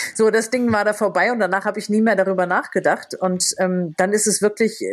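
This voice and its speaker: Her intonation stays fairly even, and the woman's pitch sits in the medium range. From Lower Rhine, Germany. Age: 50s. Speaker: novelist and TV presenter. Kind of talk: casual chat.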